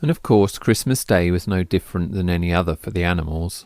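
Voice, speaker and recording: A man with an English accent and a very deep, low pitch comes through in a dry, close sound with no echo on a very clean recording with a silent background. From England. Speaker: artist. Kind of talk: personal storytelling monologue.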